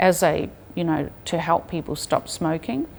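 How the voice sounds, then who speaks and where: A woman at a moderate pace, with a New Zealand accent. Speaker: public health researcher. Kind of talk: interview.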